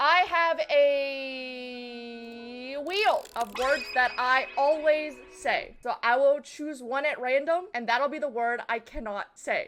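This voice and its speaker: Ordinary pitch variation and hardly any pauses. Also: woman. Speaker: gaming streamer. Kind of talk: casual live-stream chat. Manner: fast.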